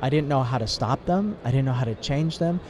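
Very fast and full of lively intonation, a man of medium pitch talks over noticeable background noise. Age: 60s. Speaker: ministry worker. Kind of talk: testimony. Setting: mobile studio in convention exhibit hall.

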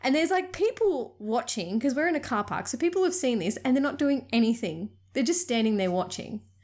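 Speaking fairly quickly with an Australian accent, a woman uses a high pitch and very wide pitch swings. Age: 30s. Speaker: podcast co-host. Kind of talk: casual chat.

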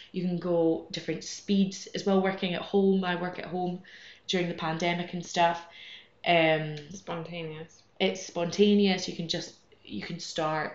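In a Scottish accent, a woman speaks at a fairly slow pace with monotone, flat intonation. Room echo can be heard. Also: fairly low pitch for a woman. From Scotland. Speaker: amateur runner. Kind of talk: casual chat.

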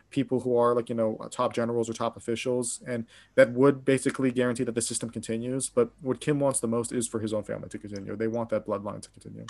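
Against a quiet background, a man with an American accent and medium pitch talks at a very fast pace in a monotone, flat intonation, with hardly any pauses. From Pittsburgh, Pennsylvania, US. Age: 20s. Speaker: graduate student and news site editor. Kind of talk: interview conversation.

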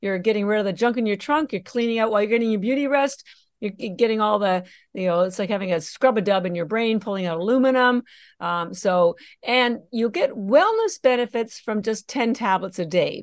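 A woman speaks at a fairly quick pace in a plain, everyday voice. Her pitch is fairly high with ordinary variation, and the background is quiet. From Canada. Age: 60s. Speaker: company founder. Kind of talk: casual interview.

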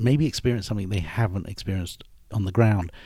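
A man speaks with a British accent in a dark, mellow tone that is somewhat breathy. His pitch varies in an ordinary way. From United Kingdom. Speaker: airline executive. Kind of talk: interview.

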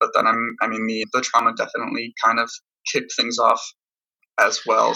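The speaker has an American accent and talks at a fairly quick pace. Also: man. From Ohio, Columbus. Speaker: rock singer and musician. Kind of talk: interview.

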